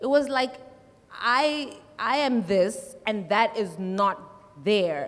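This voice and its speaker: A woman's fairly high voice with lively intonation at a very slow pace, over noticeable background noise. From South Africa, Limpopo. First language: Tsonga. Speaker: musician. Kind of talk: panel discussion.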